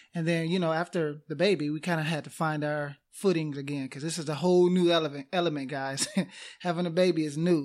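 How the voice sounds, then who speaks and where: A quiet man's voice, fairly high in pitch, with fairly even intonation and a fairly quick pace, in a very clean recording with a silent background. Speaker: podcast co-host. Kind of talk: casual chat. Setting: recording booth. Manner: quiet, lowered voice.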